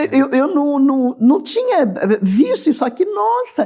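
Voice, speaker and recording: A high-pitched woman at a fairly slow pace, with very wide pitch swings. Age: 60s. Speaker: church teacher. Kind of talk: bible study discussion. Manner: halting.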